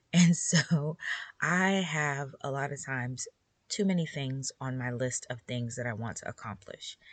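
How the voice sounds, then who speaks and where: A woman speaks in a very deep, low voice with a relaxed tone and ordinary pitch variation. Her pace is fairly slow against a quiet background. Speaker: podcast host for homeschool moms. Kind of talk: casual solo podcast talk.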